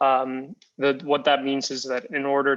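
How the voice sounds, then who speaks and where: A Spanish accent shapes his words. The voice belongs to a man. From Costa Rica. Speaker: tequila company founder. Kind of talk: interview. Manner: hesitant, many fillers and repeats.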